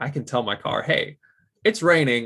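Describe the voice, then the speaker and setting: Delivered at a fairly quick pace with a Midwestern American accent, this very clean recording has a silent background. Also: man. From US Midwest, Michigan. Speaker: automotive cybersecurity engineer. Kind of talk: casual interview.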